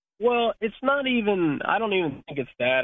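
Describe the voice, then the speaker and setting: Keeping to a moderate pace, the man uses ordinary pitch variation. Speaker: sprint car racing driver. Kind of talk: interview. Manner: halting.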